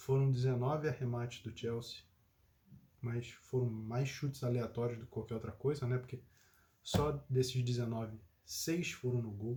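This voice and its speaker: A somewhat breathy man with a dark, mellow tone speaks in a monotone, flat intonation at a moderate pace, leaving long, frequent pauses. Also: medium pitch for a man. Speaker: football commentator. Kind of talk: casual chat.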